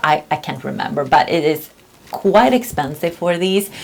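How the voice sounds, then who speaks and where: Over noticeable background noise, a woman talks in a fairly low voice. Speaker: beauty vlogger. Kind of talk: casual review vlog. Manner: casual, with many fillers and hesitations.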